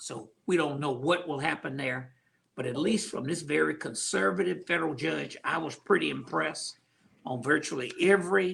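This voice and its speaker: Speaking in a normal speaking voice, a man with a fairly high pitch keeps a moderate pace and lively intonation. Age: 60s. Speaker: county commissioner, politician. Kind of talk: panel discussion on voting. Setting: video call livestream.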